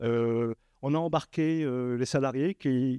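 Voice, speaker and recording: A man's medium-pitched, dark, mellow voice with ordinary pitch variation, dry and close with no echo, on a very clean recording with a silent background. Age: 60s. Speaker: association leader, workshop panelist. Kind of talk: panel talk at a workshop. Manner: halting, many hesitations.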